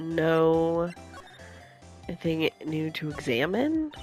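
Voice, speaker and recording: Music plays in the background beneath speech with lively intonation. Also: woman. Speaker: video game let's player. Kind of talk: casual gameplay commentary.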